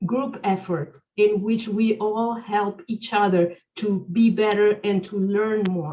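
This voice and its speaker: Spoken at a very slow pace with a non-native accent, the voice shows ordinary pitch variation. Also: woman. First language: not English. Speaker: webinar speaker. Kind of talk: webinar Q&A answer. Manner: halting, many fillers.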